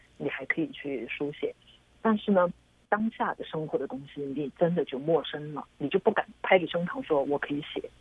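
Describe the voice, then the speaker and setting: Somewhat breathy, a woman at a very deep, low pitch speaks with lively intonation. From China. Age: middle-aged. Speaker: filmmaker. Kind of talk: interview.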